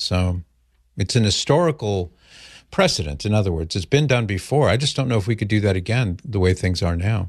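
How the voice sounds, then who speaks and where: Over a quiet background, a man with a fairly low, somewhat breathy voice speaks at a fairly quick pace with lively intonation. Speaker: radio host. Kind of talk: call-in talk radio. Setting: studio.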